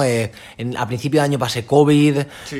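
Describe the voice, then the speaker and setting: A man with a plain, everyday voice and a medium pitch keeps his intonation fairly even while talking at a moderate pace. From Alicante, Spain. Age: 20s. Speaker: track cyclist. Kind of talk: interview.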